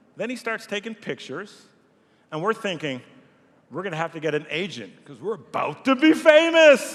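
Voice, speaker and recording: This man talks with a Montreal accent. His voice is high-pitched, with very wide swings in pitch. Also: moderate pace, big swings in loudness. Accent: Canadian English, Montreal. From Montreal, Quebec, Canada. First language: French. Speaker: nonprofit CEO. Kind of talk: speech to event audience. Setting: stage with audience.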